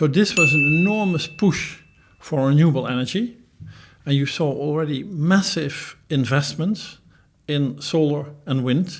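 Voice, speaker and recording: A man's somewhat breathy, fairly high voice at a fairly slow pace. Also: ordinary pitch variation. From Netherlands. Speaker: professor. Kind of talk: interview.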